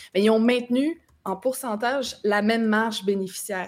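A fairly high-pitched woman's voice, a normal speaking voice, at a fairly slow pace with ordinary pitch variation. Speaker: political commentator. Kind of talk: casual political discussion.

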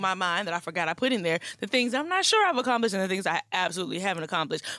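A woman speaks at a very fast pace in an animated tone, with hardly any pauses. There is noticeable background noise. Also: very even loudness. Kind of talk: casual chat. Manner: animated, joking.

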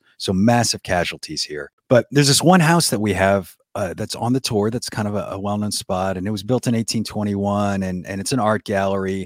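A man with a New Orleans accent talks at a fairly quick pace with hardly any pauses, his fairly low pitch showing ordinary variation, in a very clean recording with a silent background. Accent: New Orleans Southern US. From US South, New Orleans. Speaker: podcast host, ghost storyteller. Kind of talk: casual interview.

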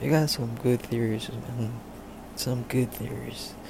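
A man's intonation stays fairly even amid noticeable background noise. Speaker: listener calling in. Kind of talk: voicemail message.

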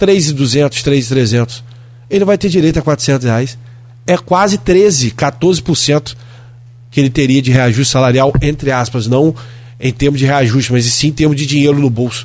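Somewhat breathy speech from a man at a medium pitch, fairly slow pace and ordinary pitch variation. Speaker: city councillor. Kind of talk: radio political interview. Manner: animated.

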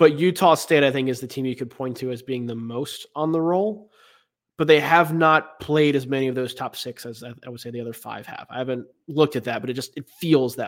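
A man with an American accent, a normal speaking voice at medium pitch with ordinary pitch variation, a fairly quick pace and big swings in loudness, on a very clean recording with a silent background. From US South, Raleigh, North Carolina. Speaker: college basketball writer and podcaster. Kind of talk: casual interview.

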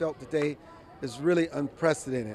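Music plays in the background while the voice shows ordinary pitch variation. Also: man. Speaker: street interviewer, host. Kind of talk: street interview, reporting. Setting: outdoors, crowd in front of court.

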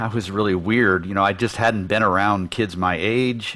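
A man's ordinary speaking voice, fairly low in pitch, with an American accent and fairly even intonation. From US Midwest, Detroit area, Michigan. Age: 60s. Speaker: business consultant for creative firms. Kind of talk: interview conversation.

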